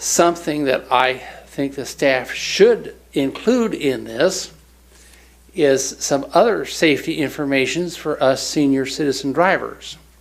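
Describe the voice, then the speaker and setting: Room echo surrounds a man speaking in a fairly high voice. His pace is fairly slow. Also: ordinary pitch variation. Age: 60s. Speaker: public commenter. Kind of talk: public comment. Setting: city council meeting.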